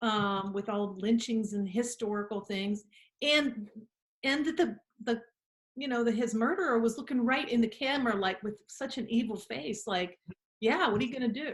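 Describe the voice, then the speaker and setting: A woman with a fairly high pitch uses an ordinary speaking voice at a moderate pace. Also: ordinary pitch variation. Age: 60s. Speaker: interviewer, lawyer. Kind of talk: interview conversation.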